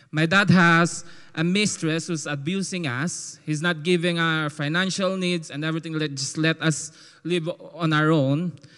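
A man speaks at a fairly slow pace with a Filipino accent. His pitch is fairly high and his tone bright and sharp. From Philippines. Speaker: testimony giver. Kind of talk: testimony. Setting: church. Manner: animated.

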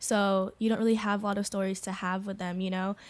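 Recorded very cleanly against a silent background, a woman uses an ordinary speaking voice at a medium pitch, talking at a fairly quick pace with fairly even intonation. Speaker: podcast guest. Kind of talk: casual chat.

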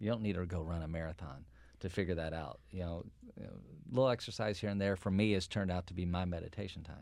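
A man with a very deep, low pitch talks at a very fast pace in a very clean recording with a silent background. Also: ordinary pitch variation. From eastern Kentucky. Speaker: healthcare executive, pharmacist. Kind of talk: interview.

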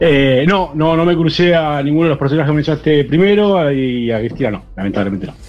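With hardly any pauses, a man speaks in a fairly high pitch and lively intonation. Noticeable background noise is present. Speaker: accountant, listener caller. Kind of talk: casual chat.

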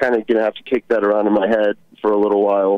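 With an American accent, a man talks in a fairly low pitch and a monotone, flat intonation. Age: 20s. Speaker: caller. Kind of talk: call-in radio conversation. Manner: halting, many fillers.

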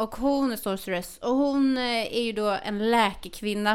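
A woman's fairly slow delivery with fairly even intonation. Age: 40s. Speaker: podcast co-host. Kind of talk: casual chat.

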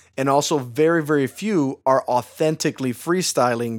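An animated man at a fairly high pitch with ordinary pitch variation and a fairly slow pace. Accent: American. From Chicago, US Midwest. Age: 30s. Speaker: rapper and singer. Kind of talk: casual interview chat. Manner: animated, jokey.

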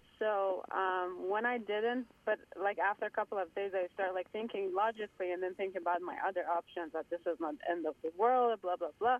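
A woman talks at a fairly quick pace with hardly any pauses. Her pitch is medium, with ordinary variation. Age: 30s. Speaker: caller, psychology graduate. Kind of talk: phone-in question. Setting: phone call. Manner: halting, many fillers.

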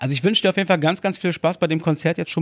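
A man with a fairly high pitch and ordinary pitch variation comes through dry and close with no echo. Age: 30s. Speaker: podcast co-host. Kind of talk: casual chat. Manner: animated.

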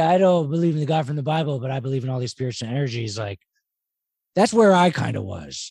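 A fairly high-pitched man with an American accent at a fairly quick pace, somewhat breathy, with a dark, mellow tone and very wide pitch swings. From Philadelphia, US. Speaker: podcast host. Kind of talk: casual interview chat.

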